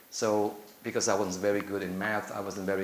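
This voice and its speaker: Fairly quick, monotone speech with flat intonation in an Indonesian accent, with audible room echo. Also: man. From Indonesia (Java). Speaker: applied linguistics academic. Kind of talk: conference presentation. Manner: halting, with fillers and repetitions.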